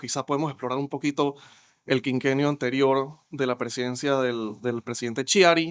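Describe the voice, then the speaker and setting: Here a man talks in an ordinary speaking voice at medium pitch and a moderate pace, with fairly even intonation. The recording is very clean with a silent background, and the sound is dry and close with no echo. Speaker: podcast moderator. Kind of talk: podcast host introduction and interview questions.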